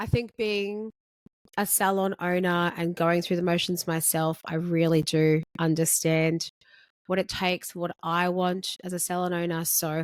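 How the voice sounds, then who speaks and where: With an Australian accent, a woman speaks fairly slowly at a fairly low pitch in a flat monotone, the sound dry and close with no echo. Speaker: podcast host, beauty salon owner. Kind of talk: solo podcast monologue. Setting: filmed podcast recording. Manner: casual, conversational.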